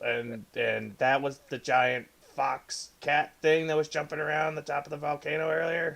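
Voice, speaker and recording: A man speaks in a put-on character voice with fairly high pitch. His pace is moderate and his intonation fairly even. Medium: actual play. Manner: stammering, nervous.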